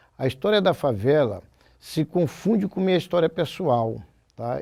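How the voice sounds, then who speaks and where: A man's dark, mellow voice at a moderate pace. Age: 60s. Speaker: samba school percussionist and composer. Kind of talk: oral history interview.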